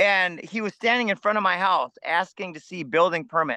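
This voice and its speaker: A man's raised, projected voice with an American accent, high-pitched, bright and sharp in tone, at a moderate pace with ordinary pitch variation and a dry, close sound with no echo. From US Midwest, Minnesota. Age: 50s. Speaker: food forest farmer. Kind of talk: interview conversation.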